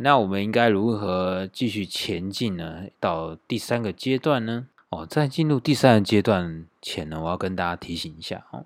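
Lively intonation from a man at a fairly low pitch, at a moderate pace with hardly any pauses. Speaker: podcast host. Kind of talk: solo casual monologue. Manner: many filler particles.

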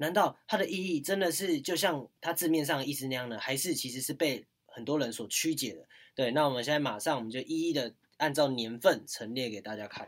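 Speaking with a Taiwanese accent, a man talks at a fairly quick pace with a fairly high voice. His pitch varies in an ordinary way while his loudness swings widely. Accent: Taiwanese Mandarin. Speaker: university student podcast host. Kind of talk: casual chat.

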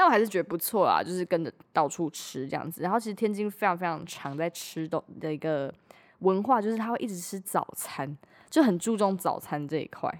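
In a very clean recording with a silent background, a woman with a plain, everyday voice speaks at a medium pitch and a fairly quick pace, her intonation lively. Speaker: podcast host. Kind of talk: casual chat.

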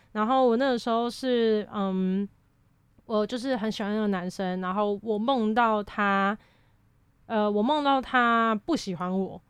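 Speaking at a fairly slow pace against a quiet background, a woman uses a plain, everyday voice with fairly high pitch and ordinary pitch variation. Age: 20s. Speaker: university student. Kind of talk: casual chat.

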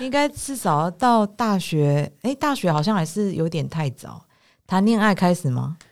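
A woman with a medium pitch speaks at a fairly slow pace with very wide pitch swings. The recording is very clean, with a silent background. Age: 40s. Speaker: podcast host. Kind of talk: casual chat. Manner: animated, frequent laughter.

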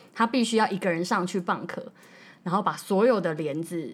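Speaking at a moderate pace, a woman with a medium pitch uses lively intonation. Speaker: flight attendant. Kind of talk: casual chat.

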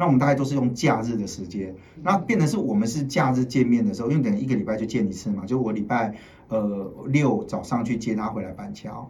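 A man talking at a very fast pace, with audible room echo. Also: medium pitch for a man, lively intonation. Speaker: TV political commentator. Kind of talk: casual chat. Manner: animated.

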